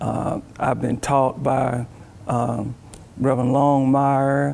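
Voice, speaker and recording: A man's very slow, monotone, flat delivery against noticeable background noise. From US South, Alabama. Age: 60s. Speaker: church deacon. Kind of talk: testimony. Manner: halting.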